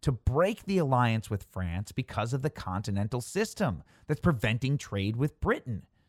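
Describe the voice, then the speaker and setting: A man with an American accent speaks at a moderate pace and a medium pitch, with very wide pitch swings. The sound is dry and close with no echo, on a very clean recording with a silent background. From Chicago suburbs, Illinois. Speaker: podcast host. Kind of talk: scripted narration of history with casual asides. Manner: informal, conversational, humorous.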